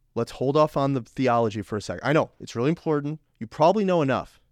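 At a fairly quick pace and with ordinary pitch variation, an unremarkable speaking voice comes through dry and close with no echo over a quiet background. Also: man. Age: 20s. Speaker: podcast host and fitness coach. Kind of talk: casual monologue.

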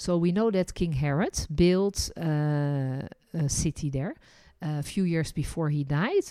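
In a very clean recording with a silent background, a woman speaks at a fairly slow pace in a very deep, low pitch with a dark, mellow tone. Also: ordinary pitch variation. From Netherlands. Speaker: tour guide and podcast host. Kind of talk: casual chat.

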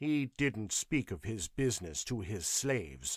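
A man's put-on character voice, growling at a medium pitch with very wide pitch swings, at a moderate pace, dry and close with no echo. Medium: read story. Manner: sullen, blunt, resentful.

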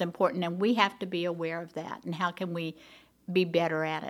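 A woman speaks with an Oklahoma accent at a medium pitch. The recording is very clean, with a silent background. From Oklahoma, Tulsa. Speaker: school board president. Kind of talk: interview.

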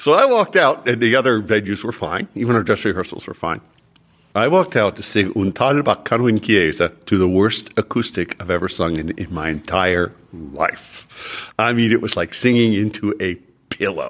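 Using lively intonation, a man with a fairly low pitch speaks at a moderate pace. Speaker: opera singer and voice teacher. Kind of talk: interview.

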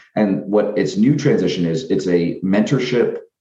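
A man's fairly low, dark and mellow voice with lively intonation and audible room echo. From US, Washington State. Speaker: civic organization founder. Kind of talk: interview. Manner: repeats words, filler-heavy.

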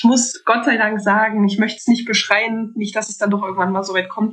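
Amid noticeable background noise, a woman talks at a fairly quick pace with a medium pitch. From Thuringia, Germany. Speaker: medical lab technician. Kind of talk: casual interview chat.

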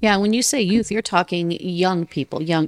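A woman with an American accent and an unremarkable speaking voice, fairly low in pitch, with fairly even intonation at a moderate pace, in a dry, close sound with no echo. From Miami, Florida. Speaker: podcast host. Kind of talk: interview conversation.

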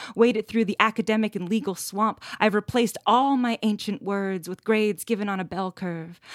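A woman with a Canadian accent has an ordinary speaking voice at a medium pitch, talking at a fairly quick pace with fairly even intonation. The recording is very clean, with a silent background and a dry, close sound with no echo. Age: 30s. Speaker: poet and activist. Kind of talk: interview, reading poetry aloud.

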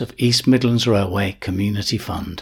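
The voice moves at a moderate pace and has a slightly husky edge. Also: man.

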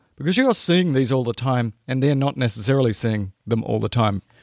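Talking at a fairly quick pace with an Australian accent, a man at medium pitch uses lively intonation in a very clean recording with a silent background and a dry, close sound with no echo. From rural Australia. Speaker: emergency medicine podcast host. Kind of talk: educational podcast monologue. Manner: animated.

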